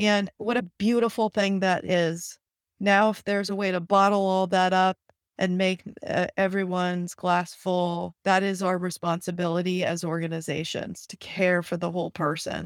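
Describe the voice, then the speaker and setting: With monotone, flat intonation, a woman speaks at a medium pitch and a moderate pace. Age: 50s. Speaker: startup founder and HR executive. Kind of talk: interview.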